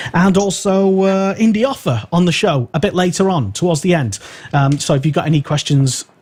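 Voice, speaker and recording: A man's high-pitched voice at a fairly quick pace, with very even loudness. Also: lively intonation. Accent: English. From England. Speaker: radio host. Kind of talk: live radio show chat. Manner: halting, many fillers.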